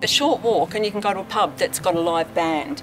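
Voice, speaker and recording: Behind talking at a moderate pace, clear music can be heard in the background. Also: woman. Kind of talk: interview answer. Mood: warm, positive. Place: garden.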